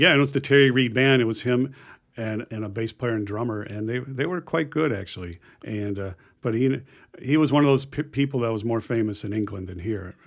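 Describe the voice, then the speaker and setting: This is an unremarkable speaking voice at a fairly quick pace. The pitch varies in an ordinary way. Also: man. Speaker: guitarist. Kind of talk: casual chat.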